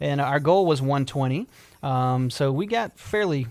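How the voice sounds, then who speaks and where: This man has a fairly high voice and a South Carolina accent. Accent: Southern US (South Carolina). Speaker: restaurant owner. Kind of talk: radio interview. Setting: radio studio.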